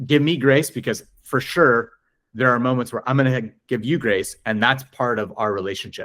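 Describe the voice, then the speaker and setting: A man with an American accent speaks at a moderate pace in a medium pitch, with ordinary pitch variation, on a very clean recording with a silent background. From Southern California. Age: 40s. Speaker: ultimate frisbee coach. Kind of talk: podcast interview. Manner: rambling, halting.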